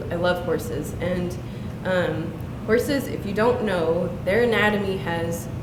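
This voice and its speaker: A woman speaks at a fairly slow pace and a medium pitch. Her pitch varies in an ordinary way, over noticeable background noise. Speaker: poet and university professor. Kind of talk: casual talk introducing her poems. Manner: conversational, hesitant with fillers.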